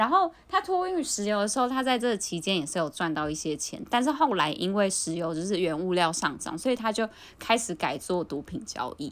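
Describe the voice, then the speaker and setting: A woman with a Taiwanese accent talks at a fairly quick pace with hardly any pauses and very wide pitch swings. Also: medium pitch for a woman. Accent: Taiwanese Mandarin. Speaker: podcast co-host. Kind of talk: casual chat.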